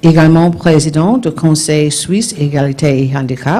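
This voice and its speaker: Noticeable background noise sits under a moderate-paced voice with a French accent. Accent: non-native French. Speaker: session chair. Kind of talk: speaker introduction. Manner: reading aloud.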